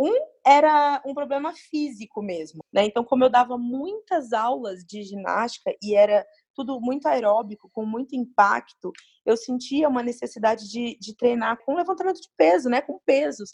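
A woman's high voice with lively intonation and big swings in loudness, at a moderate pace, in a dry, close sound with no echo. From Brazil, moved around in childhood. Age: 30s. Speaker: CrossFit gym co-owner and coach. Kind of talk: interview.

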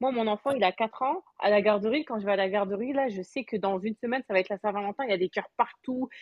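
Speaking very fast with hardly any pauses, a woman uses a fairly high pitch and ordinary pitch variation. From France. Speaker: Clubhouse participant, mother. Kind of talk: casual chat.

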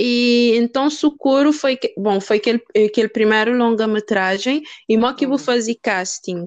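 With a plain, everyday voice, a woman talks at a moderate pace and a fairly high pitch with ordinary pitch variation, the sound dry and close with no echo. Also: very even loudness. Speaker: podcast host. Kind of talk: interview.

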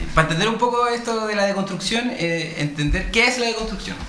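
Noticeable background noise sits behind this man. He talks at a moderate pace with lively intonation. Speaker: radio host. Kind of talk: casual chat. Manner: halting.

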